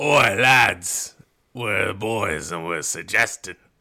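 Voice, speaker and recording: A man's raspy, put-on character voice with a British accent, fairly low in pitch, with lively intonation at a very slow pace. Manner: almost piratey.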